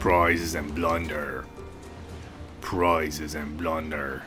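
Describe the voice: A man's put-on character voice, very deep and low in pitch, monotone and flat, at a very slow pace, with clear music in the background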